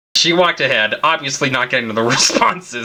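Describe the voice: The voice reads aloud plainly with lively intonation.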